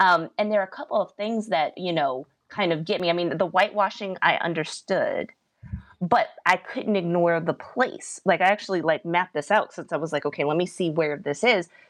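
Using an ordinary speaking voice, a woman talks at a fairly quick pace in a fairly low pitch with ordinary pitch variation. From US South, Virginia. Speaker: political commentator.

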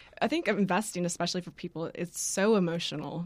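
A woman with a plain, everyday voice speaks at a fairly low pitch and a fairly quick pace with fairly even intonation, in a very clean recording with a silent background. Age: 30s. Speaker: financial advisor. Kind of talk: interview.

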